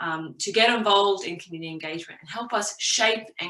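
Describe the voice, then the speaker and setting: Medium pitch from a woman with an Australian accent, at a moderate pace. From Australia (Brisbane). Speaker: community engagement professional, careers speaker. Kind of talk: careers talk presentation. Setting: virtual event, online presentation.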